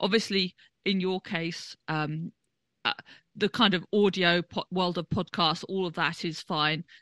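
Speaking at a fairly slow pace, a woman with a fairly low pitch and fairly even intonation has a bright, sharp tone, recorded dry and close with no echo against a quiet background. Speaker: podcast host. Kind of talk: casual interview chat.

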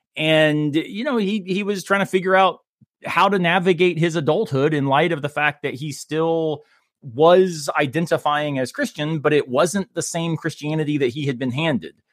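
A man with an American accent and an ordinary speaking voice, fairly high in pitch, with ordinary pitch variation and a moderate pace, on a very clean recording with a silent background. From Florida. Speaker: philosophy professor. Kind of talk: casual chat.

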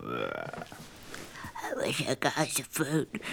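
A raspy, put-on character voice sounds over clear background noise. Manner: whining.

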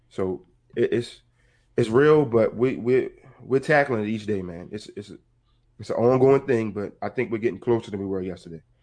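A man with a plain, everyday voice speaks at a moderate pace and medium pitch, with ordinary pitch variation and big swings in loudness. The background is quiet. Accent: American. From Baltimore, Maryland. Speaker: counselor and mentor. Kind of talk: casual interview.

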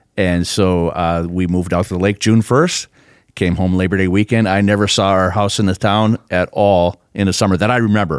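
An Upper Midwest accent at a fairly quick pace, with fairly even intonation, very even loudness and a dry, close sound with no echo. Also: man, very deep, low pitch for a man, very clean recording, silent background. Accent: Upper Midwest American. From Minnesota (Duluth area). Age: 60s. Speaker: pastor. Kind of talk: casual chat.

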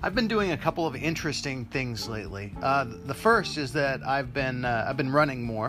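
Over music in the background, a man with a medium pitch speaks at a moderate pace with lively intonation and hardly any pauses. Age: 40s. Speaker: podcaster. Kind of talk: casual monologue. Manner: hesitant with fillers.

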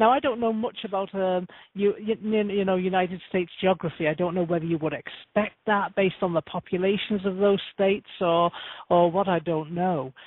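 Using a normal speaking voice, a woman talks at a medium pitch and moderate pace, with ordinary pitch variation. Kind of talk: radio show conversation. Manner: cheerful, chatty.

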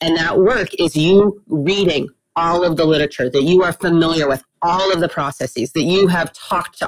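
Using an unremarkable speaking voice with an American accent, a woman talks at a fairly low pitch with ordinary pitch variation, in a dry, close sound with no echo. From Texas (Austin). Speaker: biology professor, marine researcher. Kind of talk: interview.

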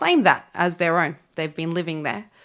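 The speaker has an Australian accent, and the recording is very clean with a silent background. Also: woman. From Australia, Sydney. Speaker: church ministry worker. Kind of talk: interview.

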